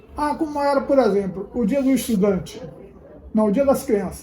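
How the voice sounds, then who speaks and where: A man speaks in a dark, mellow tone with ordinary pitch variation, and audible room echo surrounds his voice. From Bahia, Brazil (Valença). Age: 70s. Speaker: local elder interviewee. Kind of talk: interview testimony.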